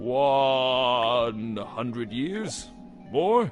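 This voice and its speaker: Over clear background music, a man uses a put-on character voice at a medium pitch. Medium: video game. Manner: terse, broken speech.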